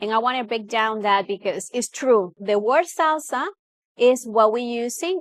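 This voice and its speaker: A woman at a fairly high pitch, with very wide pitch swings and a moderate pace, in a very clean recording over a silent background. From Cuba. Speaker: salsa dancer and champion. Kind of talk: interview.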